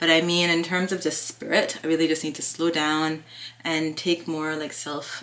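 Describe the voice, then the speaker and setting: A woman speaks in a fairly low voice over noticeable background noise. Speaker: lifestyle vlogger. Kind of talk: casual vlog chat. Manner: fast.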